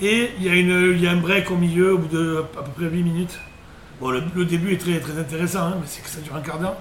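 A man with a high pitch talks at a fairly quick pace and fairly even intonation, his loudness swinging widely amid audible room echo and noticeable background noise. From southern France, Sète area. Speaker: former sports journalist, web radio co-founder. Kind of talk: casual chat.

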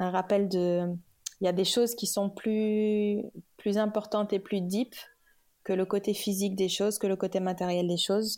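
On a very clean recording with a silent background, a woman speaks at medium pitch with a dark, mellow tone, monotone, flat intonation and very even loudness, at a fairly slow pace with long, frequent pauses. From Senegal (Kaolack, Dakar). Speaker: communications manager. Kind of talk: casual interview.

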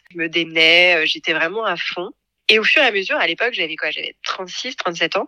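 A bright, sharp tone at a moderate pace with ordinary pitch variation. The sound is dry and close with no echo. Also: woman. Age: 40s. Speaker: podcast creator, former marketing director. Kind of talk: personal testimony interview.

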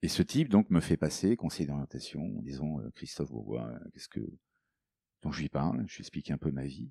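A man with a very deep, low pitch and a dark, mellow tone talks at a fairly quick pace with vocal fry, ordinary pitch variation and big swings in loudness. Long, frequent pauses break up his speech, and the sound is dry and close with no echo. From Africa, then France from boarding school. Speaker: coach and author. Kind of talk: interview.

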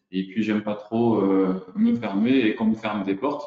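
Speaking at a fairly slow pace, a man has a fairly low pitch. His intonation is fairly even. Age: 40s. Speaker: real estate agent. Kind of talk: interview. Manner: hesitant, many fillers.

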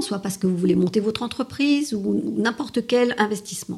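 A woman's fairly high, ordinary speaking voice with lively intonation at a moderate pace. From France and Italy. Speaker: lawyer and strategy consultant. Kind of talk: interview.

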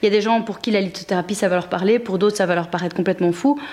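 Speaking at a medium pitch with fairly even intonation, a woman has an ordinary speaking voice. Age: 30s. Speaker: entrepreneur. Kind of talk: interview.

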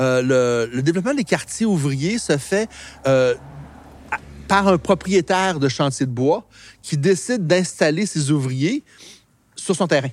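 In a fairly high pitch, a man speaks at a very slow pace with long, frequent pauses, on a very clean recording with a silent background. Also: lively intonation. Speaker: local historian. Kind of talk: guided walking tour explanation. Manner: hesitant, many euh fillers.

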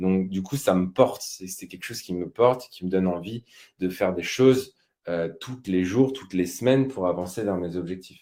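A man with a very deep, low pitch and a dark, mellow tone talks at a moderate pace with ordinary pitch variation. His loudness swings widely. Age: 30s. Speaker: personal finance podcaster. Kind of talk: live webinar on investing. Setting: live stream. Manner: hesitant, many fillers.

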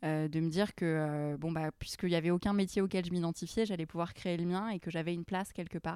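On a very clean recording with a silent background, a woman speaks at a fairly low pitch with fairly even intonation. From Lebanon, then US, raised in France. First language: Arabic (speaking French). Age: 20s. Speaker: charity founder. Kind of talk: interview. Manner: hesitant, many repetitions.

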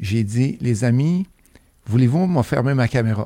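A man with a dark, mellow tone speaks at medium pitch and a fairly slow pace, his intonation lively, in a dry, close sound with no echo. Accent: Beauce Quebec. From Quebec, Beauce (Saint-Prosper). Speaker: real estate investor and educator. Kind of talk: casual interview chat.

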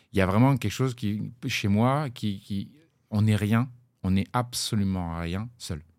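A man with a fairly low pitch at a very slow pace, on a very clean recording with a silent background. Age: 40s. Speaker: blockchain startup co-founder, former plumber. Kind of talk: interview. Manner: halting, many repetitions.

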